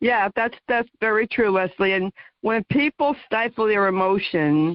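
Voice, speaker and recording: Here is a woman with an American accent and an unremarkable speaking voice. Her pitch is medium and varies in an ordinary way. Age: 60s. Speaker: talk show host, guest. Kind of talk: radio interview chat.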